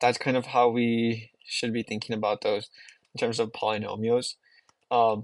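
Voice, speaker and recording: A man with a non-native accent, monotone and flat, at a moderate pace against a quiet background. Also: medium pitch for a man, dry, close sound with no echo. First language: not English. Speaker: math teacher. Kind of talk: homework walkthrough tutorial. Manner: casual, with frequent fillers.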